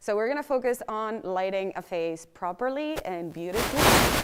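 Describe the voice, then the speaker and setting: The speaker is a woman with a non-native accent. Her intonation is lively. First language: not English. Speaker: lighting workshop instructor. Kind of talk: workshop lecture.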